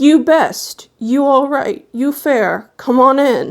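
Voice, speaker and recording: A woman speaks very slowly in a put-on character voice. Her pitch is high. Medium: read story.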